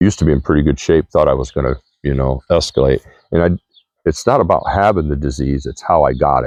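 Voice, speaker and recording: Recorded dry and close with no echo, a man speaks very fast at a very deep, low pitch with ordinary pitch variation. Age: 60s. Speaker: vlogger. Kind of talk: monologue to camera. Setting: outdoors.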